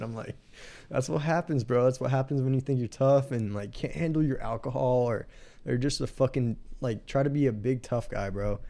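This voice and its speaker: Speaking with a Texan accent, a man of medium pitch keeps a moderate pace. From Texas (Marion, near San Antonio). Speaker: podcast host. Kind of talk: casual chat. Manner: animated.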